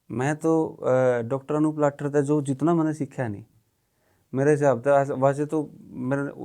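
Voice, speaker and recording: Against a quiet background, a man speaks with a fairly high pitch, a dark, mellow tone and monotone, flat intonation. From Haryana, India. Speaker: ex-journalist and film director. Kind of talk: podcast conversation.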